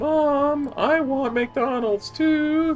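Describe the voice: A put-on character voice, female-sounding and high-pitched, over clear music in the background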